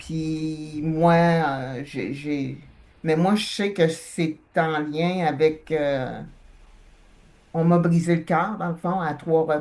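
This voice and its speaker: In a very deep, low voice, a woman speaks at a very slow pace with long, frequent pauses. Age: 60s. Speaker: hypnosis client. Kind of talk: personal testimony. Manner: halting, many hesitations.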